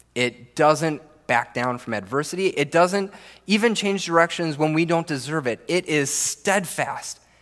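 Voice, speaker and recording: A man with an American accent speaks at a fairly high pitch. His intonation is lively. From Minnesota. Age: 30s. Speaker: pastor. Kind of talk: sermon. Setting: church.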